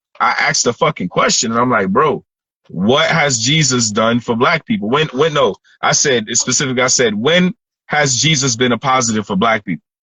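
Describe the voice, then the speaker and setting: A man at medium pitch, fairly quick in pace, with lively intonation and very even loudness. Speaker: podcast host. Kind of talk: casual chat. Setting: phone call. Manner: animated.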